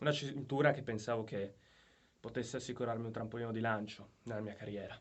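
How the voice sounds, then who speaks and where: A man with a mid-range pitch talks fairly briskly, his intonation staying mostly level. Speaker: professional wrestler. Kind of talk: wrestling promo challenge to a rival. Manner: angry, confrontational, assertive.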